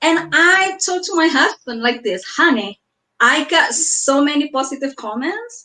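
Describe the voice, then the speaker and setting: In an Indonesian accent, a woman uses a raised, projected voice at an extremely high pitch, with a bright, sharp tone and very wide pitch swings. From Indonesia (Surabaya). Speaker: author. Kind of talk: interview. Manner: halting.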